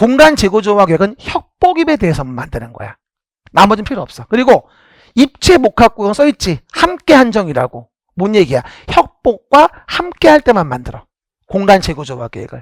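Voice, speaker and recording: A man with a high voice talks at a moderate pace in an animated tone. His pitch swings very widely, and the sound is dry and close with no echo. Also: big swings in loudness. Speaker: exam prep lecturer. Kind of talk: lecture. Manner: clear pronunciation.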